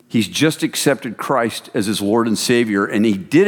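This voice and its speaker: At a moderate pace, a man uses an ordinary speaking voice with a medium pitch and ordinary pitch variation. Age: 50s. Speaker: men's ministry founder and speaker. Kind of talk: sermon.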